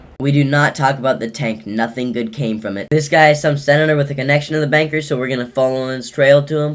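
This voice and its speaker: A man's very fast, fairly even delivery over noticeable background noise. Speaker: gaming commentator. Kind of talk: scripted narration.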